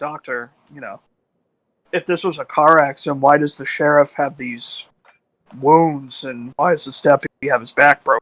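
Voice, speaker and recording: A man in a put-on character voice sounds raspy at a fairly high pitch, keeping a moderate pace with long, frequent pauses and big swings in loudness. The recording is very clean with a silent background, dry and close with no echo. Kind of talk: in-character tabletop roleplay. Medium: actual play. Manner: questioning, casual.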